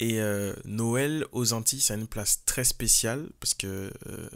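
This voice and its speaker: A man with a Martinican accent speaks at a very slow pace. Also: very clean recording, silent background. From Martinique. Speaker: podcaster and singer. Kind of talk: casual podcast monologue. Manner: hesitant, many fillers.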